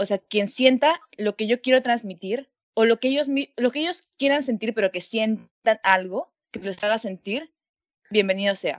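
At a fairly slow pace, an unremarkable speaking voice moves with lively intonation. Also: woman, fairly high pitch for a woman. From Peru. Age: 19. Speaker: university student, singer. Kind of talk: interview. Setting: call from home.

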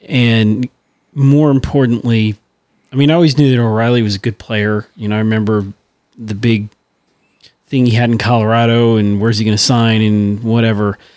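A man speaks at a moderate pace in a medium pitch, with fairly even intonation and long, frequent pauses. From St. Louis, US Midwest. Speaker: podcast co-host. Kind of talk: casual chat.

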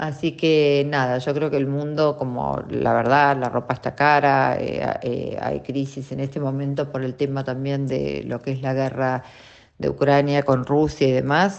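With a Rioplatense accent, a woman speaks at a very deep, low pitch. Her pace is fairly slow and her intonation monotone and flat. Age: 50s. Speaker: radio host. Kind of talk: casual chat.

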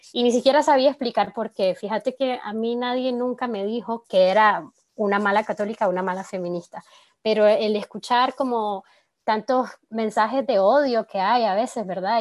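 This woman has an unremarkable speaking voice, fairly high in pitch with ordinary pitch variation, delivered at a moderate pace in a dry, close sound with no echo. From Nicaragua. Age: 20s. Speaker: communicator and feminist activist. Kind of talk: podcast interview.

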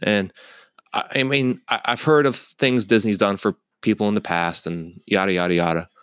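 Recorded very clean with a silent background and a dry, close sound with no echo, a man speaks at a moderate pace in a fairly low pitch with ordinary pitch variation. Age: 20s. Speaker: YouTube commentator. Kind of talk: casual commentary.

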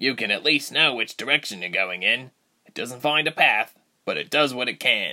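A put-on character voice. The pace is moderate. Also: man, medium pitch for a man. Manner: practical, warm, reassuring.

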